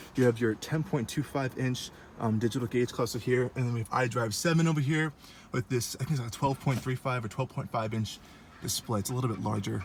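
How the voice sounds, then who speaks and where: Somewhat breathy and very fast, a man talks at a medium pitch with ordinary pitch variation. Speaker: car reviewer. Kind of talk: casual walkaround car review. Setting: at a car dealership. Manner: casual with many fillers.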